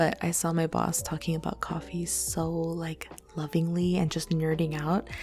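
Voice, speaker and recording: A soft-spoken woman, with music in the background. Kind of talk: ASMR Q&A talk to listeners. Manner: casual, rambling, many filler words.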